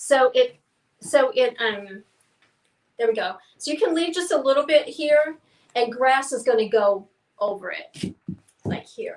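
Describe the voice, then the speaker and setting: A woman with a Southern US accent speaks at a fairly slow pace in a high voice, her intonation lively. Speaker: painting class instructor. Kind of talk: live painting tutorial; casual chat. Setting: livestream. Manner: halting, many fillers.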